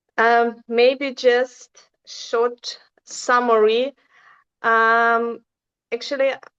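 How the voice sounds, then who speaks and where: Against a quiet background, a woman with a non-native accent and a fairly high pitch speaks at a very slow pace in a monotone, flat intonation with long, frequent pauses. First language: not English. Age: 40s. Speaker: relationship survivor. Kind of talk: personal testimony. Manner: halting.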